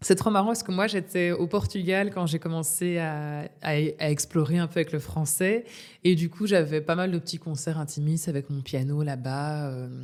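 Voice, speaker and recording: A woman speaks at a moderate pace in an unremarkable speaking voice, fairly low in pitch. The recording is very clean, with a silent background. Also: ordinary pitch variation. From Belgium, Namur area. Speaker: singer-songwriter. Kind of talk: interview.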